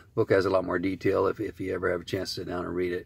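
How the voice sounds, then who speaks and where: Somewhat breathy and very deep in pitch, a man talks at a very fast pace in a very clean recording with a silent background. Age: 60s. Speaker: author and recovering addict. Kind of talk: video message. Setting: in a car. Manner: halting.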